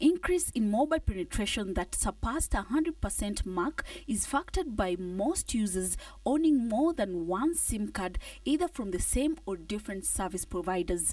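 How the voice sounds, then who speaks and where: With very wide pitch swings, a woman talks in a somewhat breathy voice. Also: medium pitch for a woman, moderate pace. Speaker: business reporter. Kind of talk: scripted news report voiceover.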